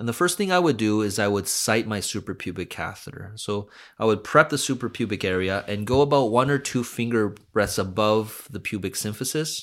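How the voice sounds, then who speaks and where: In a very clean recording with a silent background, a man with a plain, everyday voice and fairly low pitch talks at a moderate pace with ordinary pitch variation and hardly any pauses. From Vancouver, Canada. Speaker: urologist. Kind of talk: medical podcast interview.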